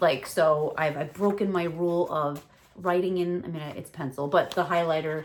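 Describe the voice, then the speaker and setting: With a New York accent, this woman speaks at a moderate pace. Her pitch is fairly low and her intonation fairly even. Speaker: tarot reader. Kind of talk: casual talk to camera. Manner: relaxed, rambling.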